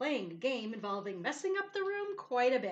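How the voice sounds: A natural reading voice carries the whole clip.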